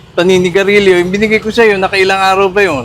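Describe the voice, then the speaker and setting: A man speaks with a high-pitched voice. Background noise is noticeable. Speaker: news program host and advocacy convener. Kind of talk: news-style commentary; interview. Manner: formal.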